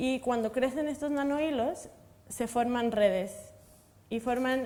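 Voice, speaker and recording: A woman with a high voice talks at a fairly slow pace with ordinary pitch variation. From Mexico. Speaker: materials science researcher. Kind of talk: panel discussion.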